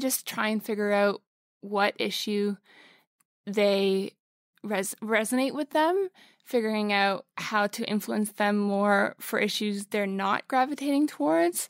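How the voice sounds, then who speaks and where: Here a woman with a plain, everyday voice speaks at a fairly slow pace and medium pitch, with ordinary pitch variation and a dry, close sound with no echo. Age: 20s. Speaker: model and sustainability platform co-founder. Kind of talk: interview. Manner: casual, with frequent fillers.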